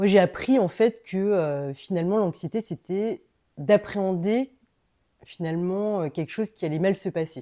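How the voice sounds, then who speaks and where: Slowish in pace, a woman speaks at medium pitch in a dark, mellow tone on a very clean recording with a silent background. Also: ordinary pitch variation. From Paris, France. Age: 40s. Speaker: entrepreneur. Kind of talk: casual interview. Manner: hesitant, many fillers.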